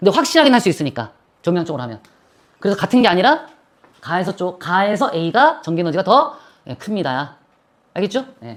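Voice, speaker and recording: A woman at medium pitch and a fairly quick pace, with very wide pitch swings, vocal fry, big swings in loudness and long, frequent pauses. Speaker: physics teacher. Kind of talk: classroom lecture. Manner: fast; casual, bantering.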